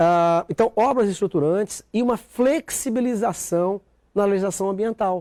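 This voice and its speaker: A man with a dark, mellow tone speaks at a moderate pace and ordinary pitch variation. The recording is very clean with a silent background, and the sound is dry and close with no echo. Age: 50s. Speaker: senator. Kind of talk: TV interview. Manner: halting, with many fillers.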